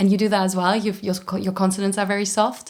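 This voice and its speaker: Very fast delivery in a German accent. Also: woman. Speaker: voice-over and motion capture actress. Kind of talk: interview conversation.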